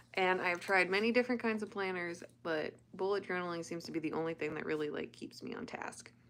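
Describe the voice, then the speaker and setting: A woman of medium pitch speaks at a fairly quick pace in an unremarkable speaking voice with an American accent and ordinary pitch variation. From United States. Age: 30s. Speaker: livestreamer. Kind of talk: casual chat.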